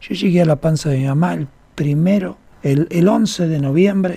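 Lively intonation marks a man's fairly high voice. His tone is dark and mellow. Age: 50s. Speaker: radio host and holistic therapist. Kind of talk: radio talk show, explanatory. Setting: radio studio.

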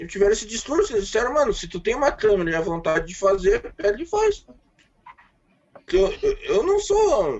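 A man talks at a fairly quick pace but leaves long, frequent pauses. His loudness swings widely. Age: 30s. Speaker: independent filmmaker. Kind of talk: casual chat.

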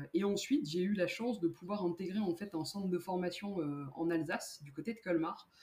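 A woman's somewhat breathy, mid-pitched voice with a dark, mellow tone, at a fairly quick pace. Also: ordinary pitch variation. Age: 30s. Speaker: amateur runner, bank account manager. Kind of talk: casual interview.

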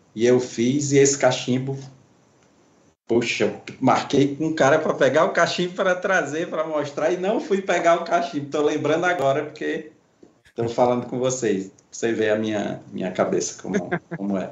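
Lively intonation from a man at fairly high pitch, moderate pace, and audible room echo. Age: 60s. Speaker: pipe maker and artisan. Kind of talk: casual interview.

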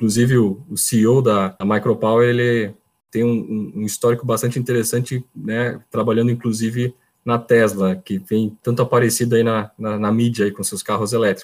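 This man speaks at a moderate pace with a medium pitch. His intonation is monotone and flat, and the recording is very clean over a silent background. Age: 30s. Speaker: electrical engineer. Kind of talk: casual interview. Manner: halting, repeats words.

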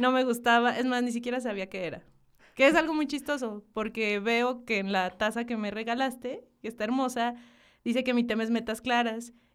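A woman's high-pitched voice at a moderate pace, fairly even in intonation, on a very clean recording with a silent background. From northern Mexico, Hidalgo del Parral, Chihuahua. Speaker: graphic designer and marketing professional. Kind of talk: casual interview chat.

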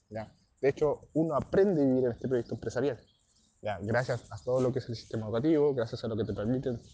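Pitched at a medium level, the man's voice has a dark, mellow tone. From southern Chile. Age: 20s. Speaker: network marketing entrepreneur, former footballer and fitness trainer. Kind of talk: motivational testimony. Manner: hesitant, with many fillers.

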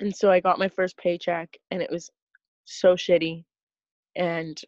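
A woman's fairly low, monotone voice at a fairly slow pace, in a dry, close sound with no echo. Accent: Canadian prairie. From Saskatchewan, Canada. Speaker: tree planter. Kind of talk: casual chat.

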